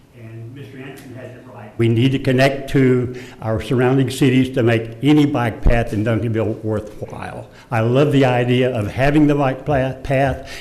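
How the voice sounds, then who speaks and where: A man speaks at medium pitch with monotone, flat intonation and big swings in loudness. Noticeable background noise and audible room echo fill the recording. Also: moderate pace. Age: 80s+. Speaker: resident speaking at public comment. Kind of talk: public comment at council meeting. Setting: city council chamber. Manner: halting, with hesitations.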